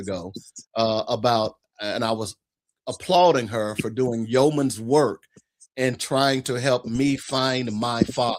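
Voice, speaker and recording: Here is an ordinary speaking voice. The pitch moves in an ordinary way. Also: man. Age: 60s. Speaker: guest on talk show about fathers' rights. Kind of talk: casual chat.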